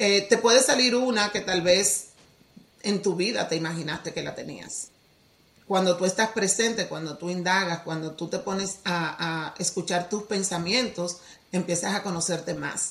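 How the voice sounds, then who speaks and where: A normal speaking voice from a woman at medium pitch, with ordinary pitch variation and a fairly slow pace. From Dominican Republic. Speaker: teacher and healing coach. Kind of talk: podcast interview.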